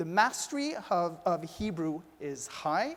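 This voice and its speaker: A man with a French-Canadian accent speaks in a high voice with lively intonation. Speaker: former politician, community leader. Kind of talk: panel discussion. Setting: stage with audience.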